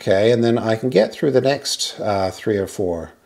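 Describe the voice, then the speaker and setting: Ordinary pitch variation from a man, quiet background behind him. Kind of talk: tutorial. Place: garage.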